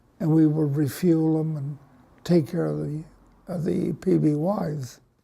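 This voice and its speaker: Very slowly, a man talks with an American accent. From Los Angeles, East LA. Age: 80s+. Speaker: war veteran. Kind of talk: oral history interview. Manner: halting, many fillers.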